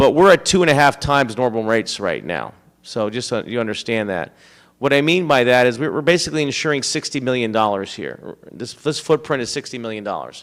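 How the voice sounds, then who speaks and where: The voice has vocal fry and lively intonation. The recording is very clean, with a silent background. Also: man, medium pitch for a man, fairly quick pace. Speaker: insurance agent. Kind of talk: town hall presentation. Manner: fast.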